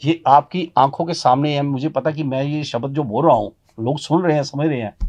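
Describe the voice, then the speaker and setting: A man talks in a normal speaking voice at a moderate pace, fairly high in pitch with fairly even intonation. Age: 60s. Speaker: motivational speaker. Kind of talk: interview. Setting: studio.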